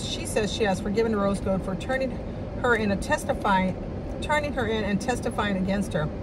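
Loud background noise fills the clip as a woman speaks at a fairly quick pace. The sound is dry with no echo. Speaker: vlogger. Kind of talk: casual vlog chat, reading aloud. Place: car. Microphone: phone near.

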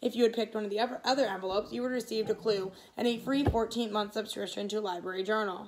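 The clip consists of reading aloud in a natural voice.

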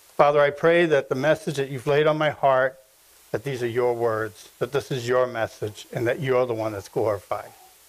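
A man is speaking. His pace is moderate, with ordinary pitch variation. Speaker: preacher. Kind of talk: sermon. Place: church.

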